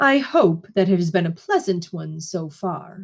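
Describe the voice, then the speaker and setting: A woman performs in a put-on character voice. Her pitch varies in an ordinary way. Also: medium pitch for a woman, moderate pace. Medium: read story. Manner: gentle, soothing, with hidden menace.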